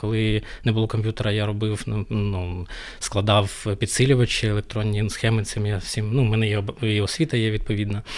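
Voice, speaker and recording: Fairly quick and monotone, a man talks with flat intonation at a fairly low pitch. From Ukraine. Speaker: DevOps engineer; podcast guest. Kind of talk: casual interview chat. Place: studio. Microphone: studio mic.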